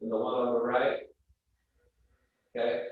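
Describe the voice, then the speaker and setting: The room echo is audible as a man speaks with an American accent. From New Jersey. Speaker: museum presenter. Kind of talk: virtual art talk.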